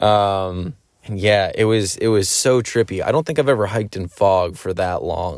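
A man with an American accent and an unremarkable speaking voice, pitched fairly low with ordinary pitch variation. The recording is very clean, with a silent background. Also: moderate pace. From Pennsylvania. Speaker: podcast host. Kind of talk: casual monologue. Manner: many filler words.

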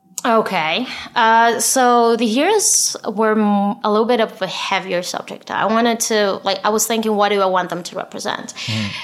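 A woman with a non-native accent, fairly high in pitch, at a moderate pace with fairly even intonation, over noticeable background noise. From Israel. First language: not English. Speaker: aspiring novelist. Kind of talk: casual chat. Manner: halting, many fillers and repetitions.

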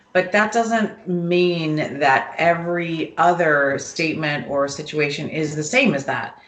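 With audible room echo, a woman speaks at a fairly slow pace with hardly any pauses. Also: fairly low pitch for a woman, ordinary pitch variation. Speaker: mother of the hosts. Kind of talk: casual chat. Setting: home, family gathering.

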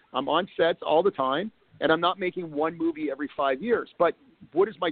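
Pitched high, a man talks at a fairly quick pace with ordinary pitch variation. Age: 50s. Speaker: film director and producer. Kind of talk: interview.

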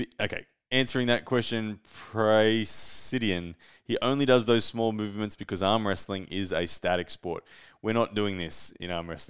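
Over a silent background in a very clean recording, a man with an Australian accent speaks in an animated tone at a moderate pace, his fairly low voice showing ordinary pitch variation. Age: 30s. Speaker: arm wrestler and podcast host. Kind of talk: live-stream solo talk. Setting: home studio live stream. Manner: casual, animated.

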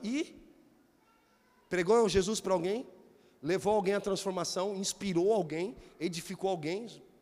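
Ordinary pitch variation at a moderate pace from a man with a high voice. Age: 40s. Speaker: pastor. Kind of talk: sermon. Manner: animated.

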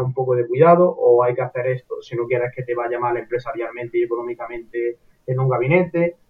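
At a fairly quick pace, a man talks with a normal speaking voice at medium pitch. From Andalusia, Córdoba. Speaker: psychology student. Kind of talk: casual interview chat.

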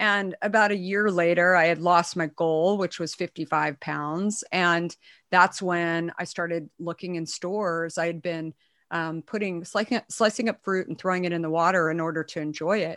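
Recorded very cleanly against a silent background, a woman with an American accent and an unremarkable speaking voice talks at a moderate pace, the sound dry and close with no echo. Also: fairly low pitch for a woman, fairly even intonation. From Arizona, US. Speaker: entrepreneur and author. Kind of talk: interview.

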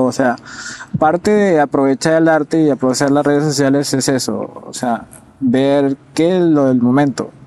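With fairly even intonation and a pitch fairly high for a man, he speaks at a moderate pace as noticeable background noise carries on. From Peru, Piura. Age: 20s. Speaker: illustrator. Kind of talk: interview.

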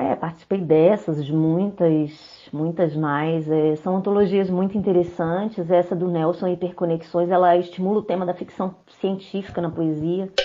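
In an ordinary speaking voice, a woman speaks at a fairly low pitch with fairly even intonation. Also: moderate pace. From Brazil, Belo Horizonte, Minas Gerais. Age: 40s. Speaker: poet. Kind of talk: interview.

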